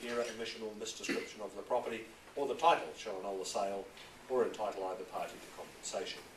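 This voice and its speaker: Noticeable background noise sits behind the recording. Over it, a man speaks at a very fast pace. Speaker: auctioneer. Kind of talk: property auction address. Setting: auction room.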